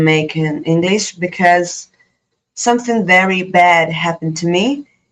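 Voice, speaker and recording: The speaker has an Italian accent and moves at a very slow pace. Pitch variation is ordinary. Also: woman. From Italy. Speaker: student and vlogger. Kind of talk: personal tribute monologue. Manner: halting, many fillers.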